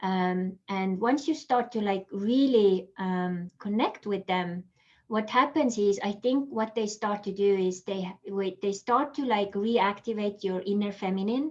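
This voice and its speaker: In an Estonian accent, the speaker goes at a fairly slow pace with hardly any pauses and ordinary pitch variation. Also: woman, medium pitch for a woman. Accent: Estonian accent, noticeable. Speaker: holistic coach. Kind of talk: interview. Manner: casual, many fillers.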